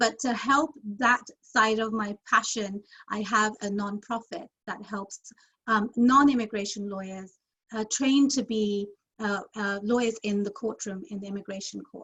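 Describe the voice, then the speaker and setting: A woman with a London accent, fairly high in pitch, at a fairly slow pace, with fairly even intonation and big swings in loudness. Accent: British (London). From London, England. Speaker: immigration lawyer. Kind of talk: interview.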